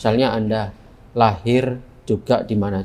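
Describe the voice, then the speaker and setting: The speech comes in a monotone, flat intonation with a Surabaya accent over noticeable background noise. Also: man. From Indonesia, Surabaya (East Java). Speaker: philosophy lecturer. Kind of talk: lecture. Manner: conversational, interactive with students.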